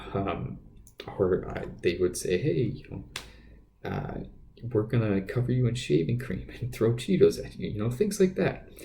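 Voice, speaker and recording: The voice is a man's. Audible room echo hangs on his words. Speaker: podcast host. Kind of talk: casual monologue. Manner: halting, many fillers and repeats.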